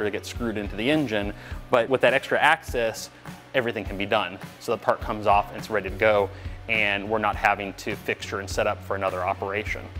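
A man's fairly low voice at a very fast pace, fairly even in intonation, with faint music in the background. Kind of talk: interview answer. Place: factory.

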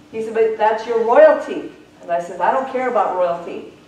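Audible room echo surrounds a woman speaking at a moderate pace. Her intonation is lively. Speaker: traveling evangelist and revivalist. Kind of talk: fiery revival sermon with a fundraising appeal. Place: church. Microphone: camera far.

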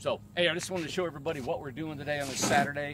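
Loud background noise sits behind a man speaking with ordinary pitch variation. The sound is dry, with no echo. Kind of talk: casual vlog chat. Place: open country. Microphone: phone near.

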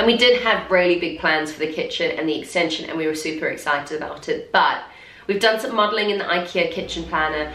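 With audible room echo, a woman talks at a very fast pace in a fairly low pitch with ordinary pitch variation. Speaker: home renovation vlogger. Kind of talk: casual vlog chat. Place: home room.

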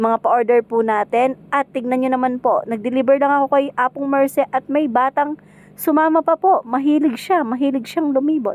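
A woman with a Kapampangan accent speaks at a moderate pace in a high pitch with ordinary pitch variation. The sound is dry and close with no echo. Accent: Kapampangan-accented Tagalog. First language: Kapampangan (speaking Tagalog). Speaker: home food seller and vlogger. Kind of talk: cooking vlog narration.

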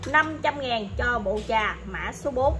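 A woman talks while music plays in the background. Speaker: antique seller. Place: shop. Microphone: phone near.

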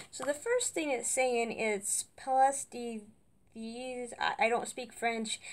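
A woman speaks with a high pitch and ordinary pitch variation. Her pace is very slow. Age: 20s. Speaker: YouTuber doing product unboxing. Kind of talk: casual unboxing vlog. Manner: halting, many fillers. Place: home room. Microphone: webcam.

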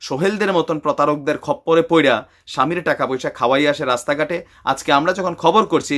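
On a very clean recording with a silent background, a man speaks. His fairly high pitch shows ordinary variation. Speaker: YouTuber, news commentator. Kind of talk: opinionated news commentary. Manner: animated.

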